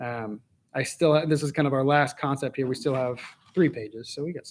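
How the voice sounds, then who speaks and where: Speaking at a medium pitch, the man keeps his intonation fairly even. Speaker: Bible study teacher. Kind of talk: Bible study teaching. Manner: fast; conversational.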